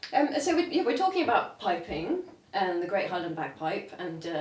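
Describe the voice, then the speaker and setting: Lively intonation marks a woman's medium-pitched voice. Audible room echo and noticeable background noise fill the recording. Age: 40s. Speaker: podcast host. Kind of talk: casual interview chat.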